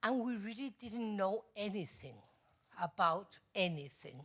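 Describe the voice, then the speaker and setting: The speaker is a woman with a fairly high pitch. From Spain, Madrid. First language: Spanish. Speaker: mental health advocacy organization president. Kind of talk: conference presentation read from notes. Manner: halting, hesitant.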